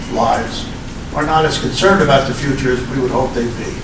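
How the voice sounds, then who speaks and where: A man talks with an American accent. Noticeable background noise is present. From United States. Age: 80s+. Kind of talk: public speech to an audience.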